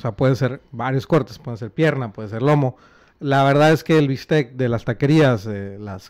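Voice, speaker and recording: There is little sound behind the speaker. A man talks at a moderate pace. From Monterrey, Mexico; Mexico. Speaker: podcast host. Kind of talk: casual chat. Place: home room. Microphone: studio mic.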